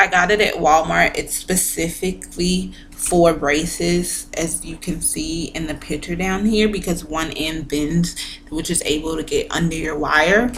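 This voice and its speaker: A woman with a fairly low pitch speaks at a fairly slow pace with fairly even intonation and hardly any pauses. Noticeable background noise and audible room echo are present. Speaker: vlogger sharing braces experience. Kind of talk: casual vlog talk to camera.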